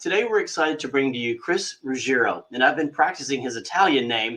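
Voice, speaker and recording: Fairly high in pitch, a man talks at a fairly quick pace. His tone is bright and sharp, and his intonation is lively. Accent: Kentucky. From Kentucky. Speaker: magazine interviewer. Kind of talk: interview.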